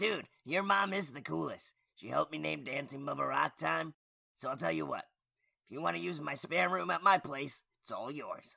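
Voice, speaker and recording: Using a put-on character voice, a man speaks at a moderate pace in a raspy, medium-pitched tone. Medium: audio drama. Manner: casual surfer-dude slang.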